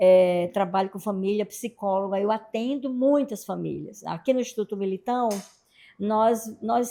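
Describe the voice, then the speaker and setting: Her tone is dark and mellow. The woman speaks at a fairly slow pace with ordinary pitch variation. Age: 60s. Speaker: family therapist and psychologist. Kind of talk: casual interview.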